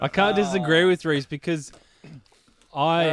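With an Australian accent and fairly even intonation, a man speaks at a fairly slow pace in a dry, close sound with no echo. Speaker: podcast co-host.

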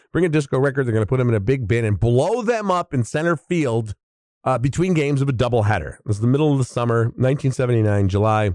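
A man with an American accent talks at a very fast pace with lively intonation. His tone is dark and mellow, and the sound is dry and close with no echo. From Chicago area, US Midwest. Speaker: podcast host and film critic. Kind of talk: casual monologue.

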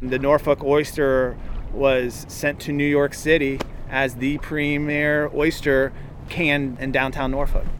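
Over noticeable background noise, a man with a fairly high pitch speaks slowly-ish, at a fairly slow pace, in a flat monotone. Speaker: radio reporter. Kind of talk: news reading.

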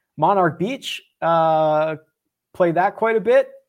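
With a Philadelphia accent, a man speaks at a high pitch for a man, using lively intonation. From US, Philadelphia. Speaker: golf betting content creator. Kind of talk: casual Q&A chat. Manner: halting, many fillers.

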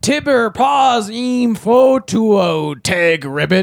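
Using a put-on character voice, a man talks very slowly at a high pitch. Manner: gibberish, nonsense talk.

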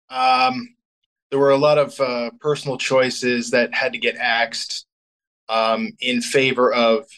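This man has a plain, everyday voice at a medium pitch. He talks at a fairly slow pace with fairly even intonation. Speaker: rock band singer. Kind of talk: casual interview.

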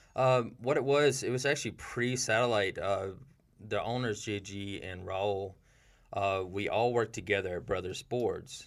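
A man with an American accent and a normal speaking voice, medium in pitch, at a fairly slow pace with ordinary pitch variation. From US South, rural South Carolina. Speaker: skateboard designer and company artist. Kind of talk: casual interview. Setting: studio.

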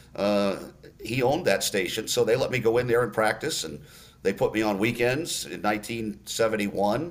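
With an ordinary speaking voice, this man talks at a moderate speed. His pitch sits in the medium range, and his intonation is lively. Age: 60s. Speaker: sports radio play-by-play announcer. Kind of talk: casual interview.

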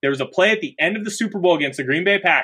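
A man raises and projects his high-pitched voice with an animated, bright and sharp tone. The background is quiet. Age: 30s. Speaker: sports podcast host. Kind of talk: casual chat.

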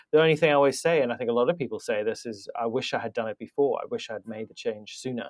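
A man with a British accent talks at a very fast pace, with hardly any pauses. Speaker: podcast host. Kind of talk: casual interview.

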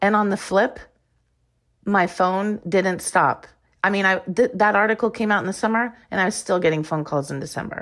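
A woman's unremarkable speaking voice at a medium pitch, with moderate pace and ordinary pitch variation, on a very clean recording with a silent background. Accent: American. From Iowa, US Midwest. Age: 50s. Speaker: former Olympic swimmer. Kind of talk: interview.

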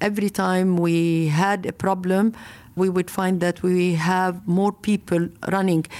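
Speaking at a fairly slow pace, a woman with a Lebanese accent uses a medium pitch. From Lebanon. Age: 50s. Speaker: marathon founder. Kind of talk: interview. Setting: remote interview from Beirut.

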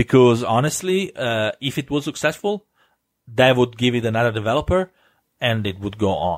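With lively intonation and a moderate pace, a man talks in a dry, close sound with no echo. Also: medium pitch for a man. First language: Italian. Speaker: gaming podcast host. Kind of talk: solo podcast monologue. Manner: hesitant, many fillers and restarts.

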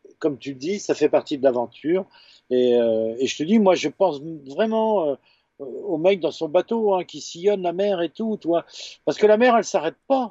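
A man speaks in a high pitch. His pitch swings very widely. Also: moderate pace. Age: 50s. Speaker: photojournalist and author. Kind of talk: casual interview. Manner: halting, many repetitions and fillers.

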